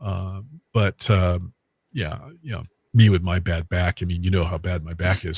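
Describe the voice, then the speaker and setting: A man with a very deep, low, somewhat breathy voice speaks at a moderate pace with fairly even intonation and long, frequent pauses. The sound is dry and close with no echo, and the recording is very clean over a silent background. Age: 60s. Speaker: medium and paranormal investigator. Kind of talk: casual chat. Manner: halting, many fillers.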